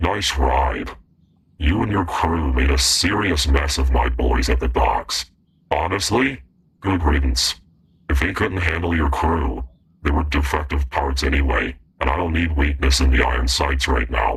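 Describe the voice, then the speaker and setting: A man uses a put-on character voice with a very deep, low pitch. He keeps a moderate pace, ordinary pitch variation and very even loudness. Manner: menacing, pragmatic.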